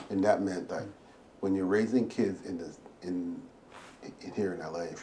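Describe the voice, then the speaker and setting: Audible room echo surrounds a voice that moves at a moderate speed and varies its pitch in an ordinary way. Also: man. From Barbados, moved to Brooklyn at 12. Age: 60s. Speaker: retired finance professional. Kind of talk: interview. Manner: halting, with repetitions.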